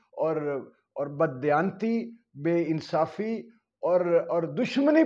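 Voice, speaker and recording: Here a man talks with ordinary pitch variation. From Pakistan. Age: 50s. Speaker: political commentator and poet; political commentator, poet. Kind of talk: opinion monologue. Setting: video channel. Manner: animated. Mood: earnest, pained. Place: home room. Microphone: lapel.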